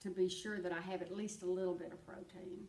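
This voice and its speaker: Over noticeable background noise, a woman talks at a medium pitch with monotone, flat intonation. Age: 70s. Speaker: retired banker. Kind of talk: interview answer.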